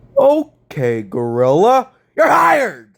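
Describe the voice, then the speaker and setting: A put-on character voice moves through very wide pitch swings. It speaks at a fairly slow pace. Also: man, high pitch for a man. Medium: fan dub. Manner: loud, barking, hostile.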